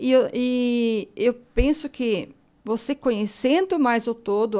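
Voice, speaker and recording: Lively intonation runs through the high-pitched speech of this woman. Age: 60s. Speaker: author. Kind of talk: radio interview.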